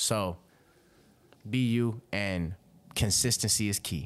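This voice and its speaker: A man with an American accent, fairly low in pitch with ordinary pitch variation, on a very clean recording with a silent background. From Robbins, Illinois, near Chicago. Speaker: rapper. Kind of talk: casual podcast interview. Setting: podcast interview. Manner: animated, conversational, frequent filler.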